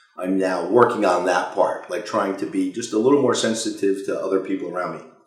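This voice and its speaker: A man speaks fairly quickly, and room echo is audible around his voice. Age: 50s. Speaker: company CEO. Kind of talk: interview Q&A. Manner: loud; halting, many fillers.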